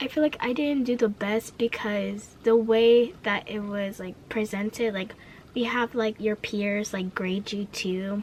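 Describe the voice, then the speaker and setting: Noticeable background noise fills the recording. The talking goes at a fairly slow pace. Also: woman, fairly high pitch for a woman. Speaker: vlogger. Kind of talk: casual rant vlog. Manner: stutters; energetic.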